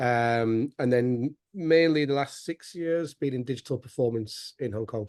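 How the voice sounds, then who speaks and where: This man has a Yorkshire accent and talks at a fairly slow pace with hardly any pauses. His pitch varies in an ordinary way, and the sound is dry and close with no echo. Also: medium pitch for a man. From northern England, West Yorkshire. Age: 30s. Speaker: former student, business founder. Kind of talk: interview testimony. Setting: video call.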